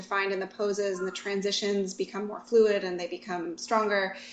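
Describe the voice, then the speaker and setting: Over noticeable background noise, a woman talks at a very fast pace with a medium pitch and fairly even intonation. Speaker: yoga teacher. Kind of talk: interview conversation. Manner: uses many filler words.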